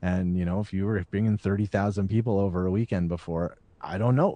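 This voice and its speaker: In a Canadian accent, a man talks at a fairly quick pace with a very deep, low pitch and ordinary pitch variation. His tone is dark and mellow, and the sound is dry and close with no echo against a quiet background. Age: 40s. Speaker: podcast host. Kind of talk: casual chat; scripted narration.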